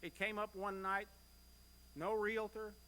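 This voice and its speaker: The man projects his voice loudly in an American accent. The tone is bright and sharp. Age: 60s. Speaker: church member. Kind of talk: church presentation. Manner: conversational.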